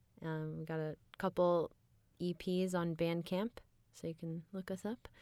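A woman with a fairly low pitch talks at a moderate pace on a very clean recording with a silent background. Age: 20s. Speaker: audiobook narrator and actress. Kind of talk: casual interview chat. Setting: studio.

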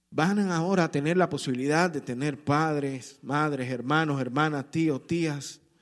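With a plain, everyday voice, a man of fairly high pitch speaks at a fairly slow pace on a very clean recording with a silent background. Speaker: pastor. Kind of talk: sermon. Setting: church. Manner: warm, earnest preaching pace, direct appeals to the congregation.

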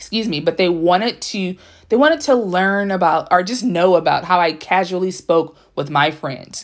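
A plain, everyday voice from a woman with an American accent, medium pitch, ordinary pitch variation and a moderate pace, on a very clean recording with a silent background. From Los Angeles (Compton), California. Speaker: author and writing podcast host. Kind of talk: solo podcast monologue. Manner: casual, conversational.

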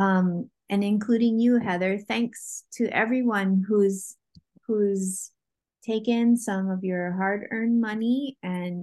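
A woman speaks with a Hawaiian accent at a medium pitch. Her pace is very slow and her intonation fairly even. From Hawaii, Oahu. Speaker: Hawaiian language teacher. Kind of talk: interview.

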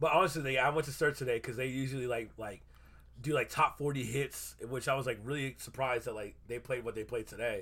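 A man talks at a very fast pace with an animated tone. His medium-pitched voice has a bright, sharp tone. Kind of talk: casual chat.

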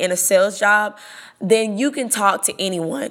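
A woman talks at a moderate pace, her pitch varying in an ordinary way, with noticeable background noise. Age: 20s. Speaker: podcast host and call center salesperson. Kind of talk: solo podcast monologue.

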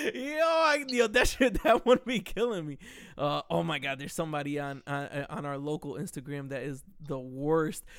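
In a very clean recording with a silent background, a man with an unremarkable speaking voice talks at a moderate pace and fairly high pitch, with lively intonation and big swings in loudness. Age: 30s. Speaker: podcast host. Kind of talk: casual chat.

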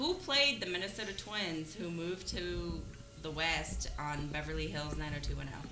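Noticeable background noise sits behind the speaker. A woman talks at a fairly slow pace. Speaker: trivia game player. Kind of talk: casual banter, party game.

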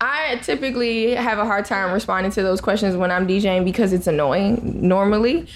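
Lively intonation at a fairly quick pace with very even loudness and hardly any pauses, over noticeable background noise. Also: woman, medium pitch for a woman. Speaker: podcast co-host and creative agency founder. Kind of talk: casual chat.

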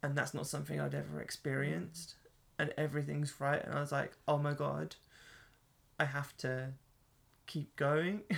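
Someone with an English accent speaks at a moderate pace, leaving long, frequent pauses. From England. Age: 30s. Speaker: podcast host. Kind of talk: casual chat.

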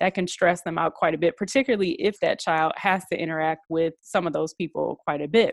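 A woman with an American accent talks in a plain, everyday voice at a fairly low pitch with ordinary pitch variation, at a fairly quick pace with hardly any pauses. The recording is very clean with a silent background, and the sound is dry and close with no echo. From Detroit, US Midwest. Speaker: psychologist and professor. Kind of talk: interview.

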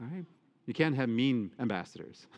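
The background is quiet. A man with an American accent speaks at a fairly quick pace. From Michigan, US Midwest. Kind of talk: sermon; parish announcements. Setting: church.

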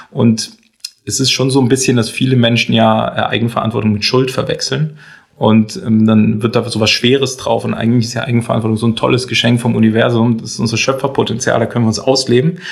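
Fairly quick and fairly even in intonation, a man speaks in an ordinary speaking voice at a medium pitch. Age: 30s. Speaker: entrepreneur and coach. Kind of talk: casual interview.

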